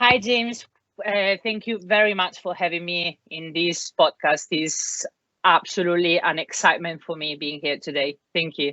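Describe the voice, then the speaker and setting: The speaker has an Italian accent. The pace is moderate, with ordinary pitch variation. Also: woman, fairly low pitch for a woman. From Italy. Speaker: career changer entering learning and development. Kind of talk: podcast interview. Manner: hesitant, many fillers.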